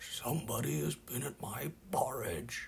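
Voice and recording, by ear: A man's put-on character voice at a medium pitch and fairly slow pace, with clear background noise.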